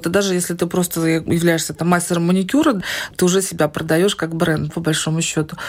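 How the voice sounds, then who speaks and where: The speech comes at a very fast pace, with noticeable background noise. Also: woman. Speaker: online business owner and community founder. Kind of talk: interview.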